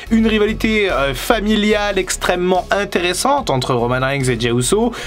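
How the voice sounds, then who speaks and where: At a moderate pace, a man with a high pitch speaks in very wide pitch swings over noticeable background noise. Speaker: wrestling YouTuber. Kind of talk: casual video commentary.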